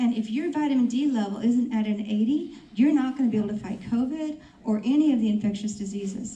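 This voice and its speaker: Talking at a fairly quick pace, a woman is heard with audible room echo around her. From rural area, grew up on a farm. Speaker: health practitioner panelist. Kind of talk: panel discussion.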